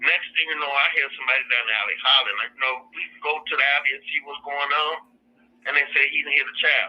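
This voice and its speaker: A man talks very fast with an American accent. His pitch is fairly high and his intonation fairly even. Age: 60s. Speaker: grieving parent interviewee. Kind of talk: testimony.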